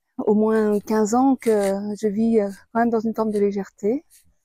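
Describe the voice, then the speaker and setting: Dry, close sound of a woman with a fairly high pitch and dark, mellow tone, no echo. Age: 60s. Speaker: author and video blogger. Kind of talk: personal testimony. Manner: hesitant, many fillers.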